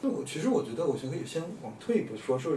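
A man speaks with lively intonation. There is audible room echo and noticeable background noise. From Hunan, China. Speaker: urban planner and landscape designer. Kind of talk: casual chat.

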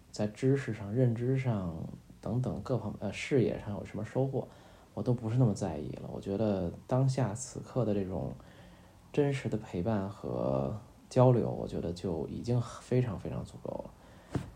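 A man speaks fairly slowly, his fairly low voice dark, mellow and somewhat breathy. His intonation is lively. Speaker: podcast host. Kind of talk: bedtime talk. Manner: hesitant, many fillers; soft-spoken.

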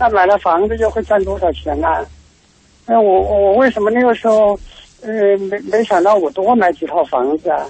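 A man with a high pitch talks at a moderate pace with ordinary pitch variation and long, frequent pauses. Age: 60s. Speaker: radio caller. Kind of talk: phone-in call. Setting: phone call. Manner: halting, repeats words.

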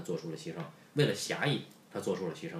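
A man speaks with very wide pitch swings. Room echo is audible around his voice. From Beijing. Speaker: podcast host. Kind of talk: casual chat.

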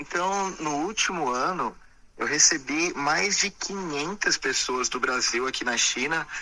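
This man's voice sits at a fairly high pitch, with ordinary pitch variation. He speaks at a very slow pace. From Brazil, São Paulo state (Sorocaba). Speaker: entrepreneur and TV personality. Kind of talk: interview.

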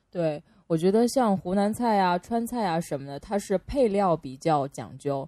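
A woman's medium-pitched voice with an animated tone and lively intonation, at a moderate pace against a quiet background. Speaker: podcast co-host. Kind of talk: casual chat. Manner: animated, laughs often.

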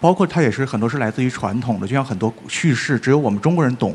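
This voice races along at a very fast pace, its pitch swinging very widely up and down. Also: man. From Northeast China. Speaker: writer. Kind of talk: panel discussion. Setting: stage with audience.

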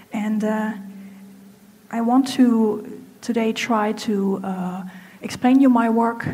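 With a German accent, a woman speaks very slowly in a fairly high, flat, monotone voice, pausing long and often. Room echo is audible and background noise is noticeable. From Germany. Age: 30s. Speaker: apparel designer. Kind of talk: talk to a live audience. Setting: stage with audience. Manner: halting.

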